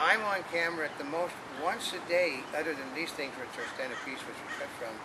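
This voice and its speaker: Amid noticeable background noise and audible room echo, a man speaks at a moderate pace in a high pitch. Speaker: online video commentator. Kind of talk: casual chat. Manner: halting.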